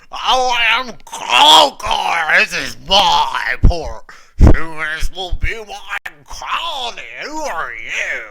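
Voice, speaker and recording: A man bellows in a put-on character voice pitched extremely high, speaking at a very slow pace. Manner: roaring.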